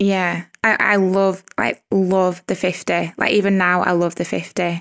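A woman with a strong Lancashire accent, in a dry, close sound with no echo. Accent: strong Lancashire northern English. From Lancashire, northern England. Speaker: wedding photographer and podcaster. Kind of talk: casual interview chat.

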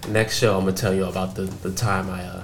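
Noticeable background noise and audible room echo surround a man with a very deep, low pitch. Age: 20s. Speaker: podcast host. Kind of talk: casual chat. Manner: animated.

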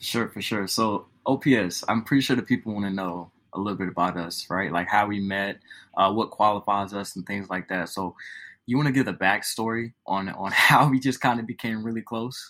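A man's fairly low voice with a bright, sharp tone, ordinary pitch variation and a moderate pace. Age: 20s. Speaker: podcast co-host. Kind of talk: casual chat.

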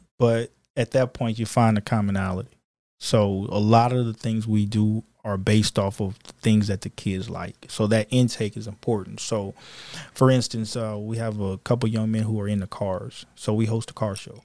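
On a very clean recording with a silent background and a dry, close sound with no echo, a man with a Louisiana accent speaks at a moderate pace in a fairly low pitch and monotone, flat intonation. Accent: US South, Louisiana. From Louisiana, near New Orleans (Kenner). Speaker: police officer and youth mentor. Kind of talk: casual interview chat.

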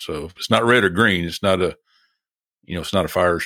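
In a Southern US accent, a man speaks with a very deep, low pitch and ordinary pitch variation. His tone is bright and sharp. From US South. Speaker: record collector. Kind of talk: casual chat. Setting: video call.

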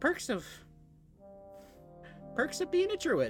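A high-pitched put-on character voice with music clearly playing behind it. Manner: quiet.

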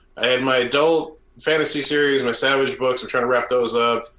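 With noticeable noise behind him, a man talks at a fairly quick pace. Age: 40s. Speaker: podcast co-host, writer. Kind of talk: casual chat.

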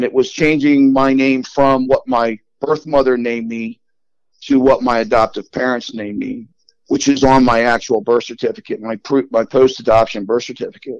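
In an American accent, a man talks in a normal speaking voice at medium pitch and a moderate pace, with ordinary pitch variation. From Long Island, New York, then Delaware. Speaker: adoptee. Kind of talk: personal storytelling interview.

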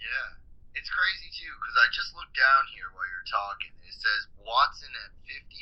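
The speaker is a man talking at a moderate pace. His loudness swings widely. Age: young. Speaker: wrestling historian. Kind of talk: casual chat.

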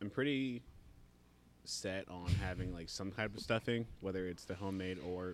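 A man speaks at a fairly slow pace with long, frequent pauses. His very deep, low pitch shows ordinary variation. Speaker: podcast host. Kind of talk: casual chat. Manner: animated.

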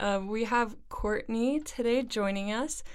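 An unremarkable speaking voice, its pitch varying in an ordinary way, moving at a moderate pace. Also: woman. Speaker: podcast host. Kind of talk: casual interview chat.

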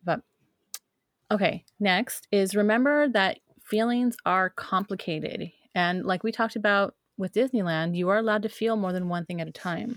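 A woman at medium pitch, ordinary pitch variation and a moderate pace, dry, close sound with no echo, very clean recording, silent background. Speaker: podcast co-host on witchcraft. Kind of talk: casual chat. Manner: loud.

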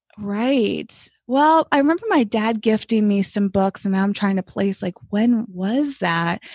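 An ordinary speaking voice moves at a fairly slow pace with hardly any pauses and ordinary pitch variation, the sound dry and close with no echo and the background quiet. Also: woman, fairly high pitch for a woman. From Massachusetts. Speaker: wellness coach and cookbook author. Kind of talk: interview.

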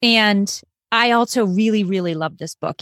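A woman with an American accent has an unremarkable speaking voice at medium pitch. She speaks at a fairly slow pace in a very clean recording with a silent background. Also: dry, close sound with no echo. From Massachusetts suburbs. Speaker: podcast co-host. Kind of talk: casual book chat.

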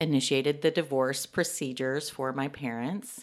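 A woman speaks with a Texan accent, a very deep, low pitch and fairly even intonation. The recording is very clean, with a silent background. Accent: Texan American. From Texas, Dallas. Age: 40s. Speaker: interviewee sharing life story. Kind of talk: testimony.

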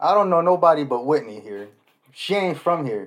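Speaking at a moderate pace against a quiet background, a man with a fairly high voice uses lively intonation. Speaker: podcast co-host. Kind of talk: casual chat.

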